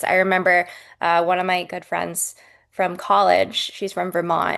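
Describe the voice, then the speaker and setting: A woman with an American accent at a fairly slow pace, against a quiet background. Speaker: podcast host.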